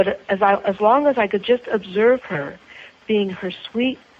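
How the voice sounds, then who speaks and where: With noticeable background noise behind her, a woman speaks at a medium pitch and a fairly slow pace with lively intonation. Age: 60s. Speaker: author and spiritual counselor, clergy. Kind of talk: interview conversation. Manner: halting, with repetitions.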